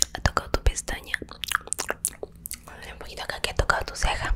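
A woman whispers in a soft-spoken way at a very fast pace. Noticeable background noise runs underneath. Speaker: ASMR creator. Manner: soft, close-mic ASMR whisper. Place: home room. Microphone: studio mic.

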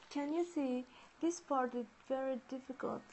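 A woman with a Japanese accent speaks at a high pitch and fairly slow pace, with ordinary pitch variation. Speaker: origami livestreamer. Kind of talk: live-stream tutorial. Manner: halting; giggly. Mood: cheerful, smiling. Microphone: earbuds.

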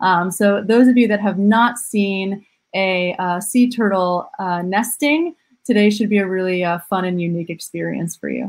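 With ordinary pitch variation, a woman speaks at a fairly slow pace in a quiet background. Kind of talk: webinar presentation. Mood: friendly, upbeat. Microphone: webcam.

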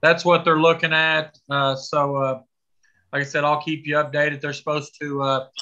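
A man speaks at a moderate pace with monotone, flat intonation. The background is quiet. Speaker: school administrator reporting to board. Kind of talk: meeting report. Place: home room. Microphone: video call.

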